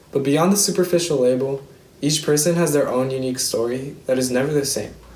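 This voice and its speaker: A man with an American accent talks at a fairly quick pace with ordinary pitch variation. Noticeable background noise and audible room echo surround him. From Seattle, US Pacific Northwest. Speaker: student speaker. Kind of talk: prepared speech. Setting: virtual ceremony.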